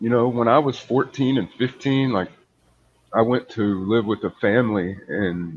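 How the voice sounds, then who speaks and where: With lively intonation, a man speaks at a moderate pace in a normal speaking voice of medium pitch. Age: 40s. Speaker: English tutor. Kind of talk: casual chat.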